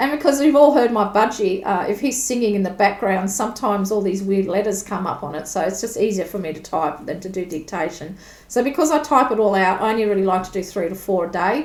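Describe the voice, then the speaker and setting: A woman with an Australian accent talks at a very fast pace in a medium pitch, her lively intonation running with hardly any pauses through audible room echo. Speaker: tarot reader. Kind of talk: tutorial. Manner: casual, conversational.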